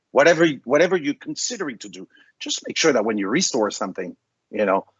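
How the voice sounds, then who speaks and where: A man speaks very fast with vocal fry at a fairly high pitch. His pitch swings very widely and his loudness varies a lot. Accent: slight French. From France. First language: French. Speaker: vendor presenter. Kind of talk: webinar presentation. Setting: online webinar. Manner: animated.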